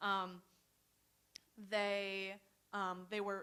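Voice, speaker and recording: A woman with a General American accent speaks at a medium pitch in a monotone, flat delivery with a bright, sharp tone. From US, Romanian immigrant family. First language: Romanian. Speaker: student panelist. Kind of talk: personal testimony. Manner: hesitant, many fillers.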